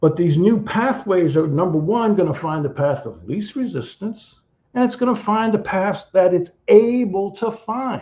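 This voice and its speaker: With hardly any pauses, the voice moves at a moderate pace, its dark, mellow tone carried by lively intonation. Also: man, high pitch for a man. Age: 60s. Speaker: therapy founder and practitioner. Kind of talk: interview explanation.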